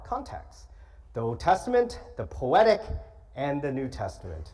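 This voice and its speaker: With an American accent, a man talks amid audible room echo. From California, Los Angeles. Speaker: guest preacher. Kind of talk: sermon. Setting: church.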